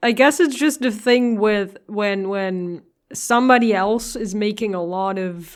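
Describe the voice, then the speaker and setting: Recorded very cleanly against a silent background, a woman with a non-native accent speaks at a fairly high pitch. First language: not English. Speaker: music reaction youtuber. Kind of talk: album reaction commentary. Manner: hesitant, repeats words.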